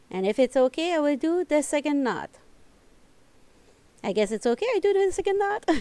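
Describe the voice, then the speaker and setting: A woman speaks with a non-native accent and very wide pitch swings. The sound is dry and close, with no echo. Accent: non-native English accent, self-noted. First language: French. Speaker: knitting tutorial creator. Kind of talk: tutorial. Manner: halting, searching for words.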